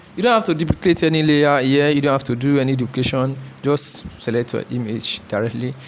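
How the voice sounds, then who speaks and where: A man talks fairly quickly with ordinary pitch variation while noticeable background noise carries on around him. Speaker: photographer teaching photo editing. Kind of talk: tutorial. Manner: fast; halting.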